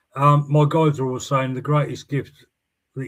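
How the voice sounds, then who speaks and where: A man with a somewhat breathy voice is heard on a very clean recording with a silent background. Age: 60s. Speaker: spiritualist medium, show host. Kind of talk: casual chat.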